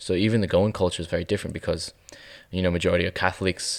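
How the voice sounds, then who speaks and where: In an Australian accent, a man with a very deep, low pitch speaks in a monotone, flat intonation on a very clean recording with a silent background. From Melbourne, Australia. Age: 20s. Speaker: photographer. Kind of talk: interview. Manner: halting.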